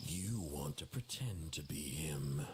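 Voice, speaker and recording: A man's put-on character voice, very deep and low, fairly slow with lively intonation, over clear background noise. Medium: video game. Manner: terse, grim.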